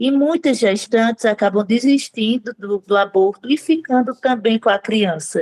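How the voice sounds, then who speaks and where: A woman with a northeastern Brazilian accent and a fairly high pitch talks at a fairly slow pace. Her pitch variation is ordinary, and the sound is dry and close with no echo. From Northeast Brazil. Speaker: maternity consultant and pro-life activist. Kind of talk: interview. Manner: halting, with frequent fillers.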